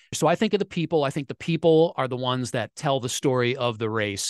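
Fairly high in pitch, a man talks at a fairly quick pace with ordinary pitch variation. The sound is dry and close with no echo, over a quiet background. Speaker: sports radio reporter. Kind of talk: interview. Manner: animated.

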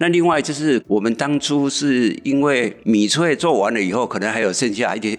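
A man with a normal speaking voice uses lively intonation at a moderate pace, the background quiet. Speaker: community association chairman. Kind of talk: interview explanation.

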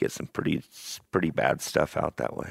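A man speaks with vocal fry at a moderate pace. The recording is very clean and dry, close with no echo and a silent background. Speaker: houndsman who catches wild cattle. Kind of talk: casual chat.

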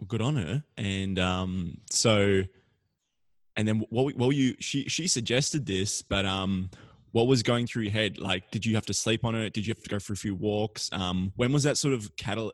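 With an Australian accent, a man speaks at a fairly low pitch and moderate pace with ordinary pitch variation, in a dry, close sound with no echo over a quiet background. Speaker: podcast host. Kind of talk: interview.

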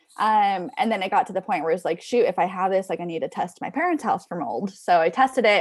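A woman with an American accent talks at a very fast pace with hardly any pauses. Her intonation is lively. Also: medium pitch for a woman. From Southern California. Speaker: chronic illness influencer. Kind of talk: interview.

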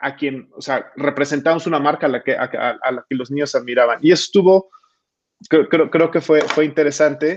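Fairly high male voice at a moderate pace. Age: 40s. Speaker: marketing executive. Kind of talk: interview. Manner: halting, frequent repetitions.

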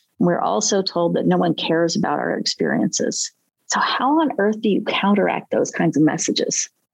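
The speech moves at a moderate pace with very even loudness. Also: woman. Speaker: podcast host and self-defense expert. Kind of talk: interview conversation.

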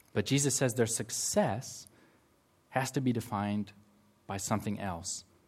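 Somewhat breathy and medium in pitch, a man with an American accent speaks at a moderate pace with long, frequent pauses in a very clean recording with a silent background. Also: fairly even intonation. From United States. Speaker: campus ministry worker giving a sermon. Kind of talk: sermon. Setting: church service with congregation.

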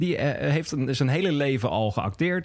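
A man speaks in an unremarkable speaking voice. His intonation is lively and his pace moderate. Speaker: podcast host. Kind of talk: casual chat. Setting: pub.

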